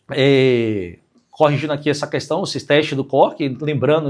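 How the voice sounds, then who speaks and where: This man's voice sits at a fairly high pitch and shows ordinary pitch variation. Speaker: physician teaching clinical reasoning. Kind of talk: lecture. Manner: fast.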